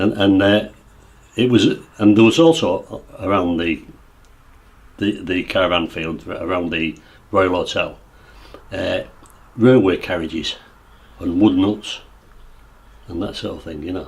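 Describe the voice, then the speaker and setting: A man in an East Yorkshire accent, fairly slow, with long, frequent pauses and big swings in loudness. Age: 60s. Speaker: local resident recalling the past. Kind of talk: oral history interview. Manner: halting, many false starts.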